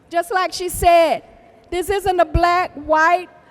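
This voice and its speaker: The speaker goes at a fairly slow pace with fairly even intonation, over noticeable background noise. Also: woman. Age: 70s. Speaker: victim's mother. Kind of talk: public testimony speech. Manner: halting.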